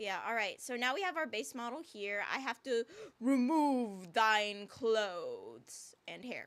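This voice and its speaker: Very wide pitch swings at a very slow pace. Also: woman. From US, Filipino-American. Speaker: vtuber streamer and voice actor. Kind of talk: casual livestream chat while doing art. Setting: livestream. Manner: expressive, varied pitch; chatty, filler-heavy.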